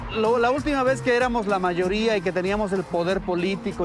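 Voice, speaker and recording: Over noticeable background noise, a man talks fairly quickly with a high pitch and ordinary pitch variation. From Veracruz, Mexico. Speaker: radio journalist and broadcaster. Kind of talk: interview answer.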